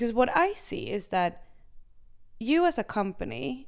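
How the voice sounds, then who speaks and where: The recording is very clean, its background silent. The voice belongs to a woman. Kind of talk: casual chat.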